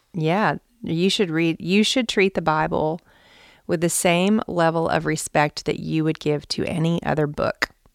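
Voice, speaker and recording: A normal speaking voice moves at a fairly slow pace with fairly even intonation and very even loudness. The sound is dry and close, with no echo. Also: woman, fairly low pitch for a woman. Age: 40s. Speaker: author and Bible teacher. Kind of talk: interview. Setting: at a church event.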